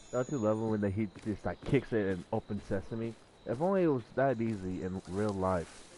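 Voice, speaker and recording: Mumbling in a dark, mellow tone, the speaker goes at a moderate pace with ordinary pitch variation. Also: man, fairly low pitch for a man. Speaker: gaming streamer. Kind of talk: live game commentary.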